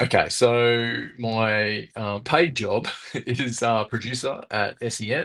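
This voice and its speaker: With an Australian accent, a man of medium pitch speaks at a very slow pace with fairly even intonation. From Wollongong, Australia. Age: 40s. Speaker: radio producer. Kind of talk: casual chat.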